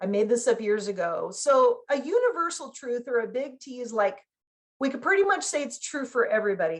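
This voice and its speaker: This woman speaks in a high pitch at a moderate pace, with an energetic tone and very wide pitch swings. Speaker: business consultant and speaker. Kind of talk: workshop talk. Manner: conversational, energetic.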